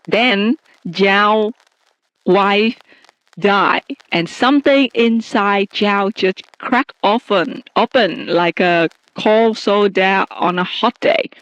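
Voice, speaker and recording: Very slowly, a woman speaks with a non-native accent, a medium pitch and ordinary pitch variation. Her loudness stays very even, and the sound is dry and close with no echo. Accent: non-native English, trouble with R and th. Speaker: podcast host. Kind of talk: casual chat. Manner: slow, careful pace; stumbling, halting at times.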